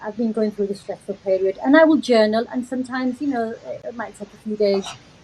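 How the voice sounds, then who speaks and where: A woman with a Yorkshire accent, ordinary pitch variation and noticeable background noise. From Yorkshire, Leeds. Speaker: recovered chronic back pain patient. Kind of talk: testimony in live video chat. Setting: online live video call.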